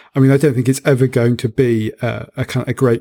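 A man in a British accent, medium in pitch and dark and mellow in tone, with monotone, flat intonation at a fairly quick pace, in a dry, close sound with no echo. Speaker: podcast host. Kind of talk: casual chat.

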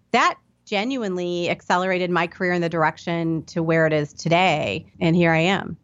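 Here is a woman with an American accent. Her pitch is fairly low, with ordinary pitch variation. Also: fairly quick pace. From US Midwest, Indianapolis, Indiana. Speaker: startup CEO. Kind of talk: interview.

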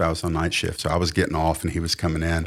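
This man talks with a Southern US accent on a very clean recording with a silent background. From US South. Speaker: pastor and author. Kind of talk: testimony. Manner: intense.

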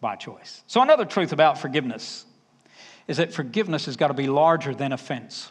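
Using lively intonation and big swings in loudness, a man with a Southern US accent talks in a fairly high pitch. His pace is fairly quick. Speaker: preacher. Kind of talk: sermon.

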